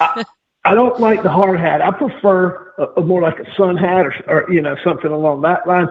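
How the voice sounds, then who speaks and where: A high male voice at a moderate pace, with ordinary pitch variation. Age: 60s. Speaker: metal detecting hobbyist. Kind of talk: podcast interview. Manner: halting, repeats words.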